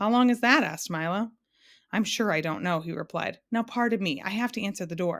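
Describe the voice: The text is read plainly aloud with quiet surroundings.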